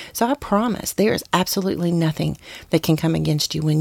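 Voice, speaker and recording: In a plain, everyday voice, a woman with an American accent speaks at a fairly low pitch and a fairly quick pace, with a dry, close sound with no echo. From West Virginia. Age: 40s. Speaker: podcast co-host. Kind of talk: casual chat.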